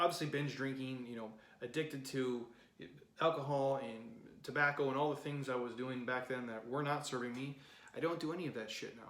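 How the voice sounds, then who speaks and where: A man at a fairly quick pace amid audible room echo and noticeable background noise. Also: medium pitch for a man. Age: 30s. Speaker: fitness coach. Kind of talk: podcast monologue. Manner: animated.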